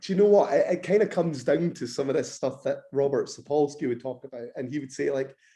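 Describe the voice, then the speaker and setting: A man speaks with a Scottish accent at a fairly quick pace. His tone is dark and mellow. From Scotland. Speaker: bodybuilder and nutrition lecturer. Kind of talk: podcast interview.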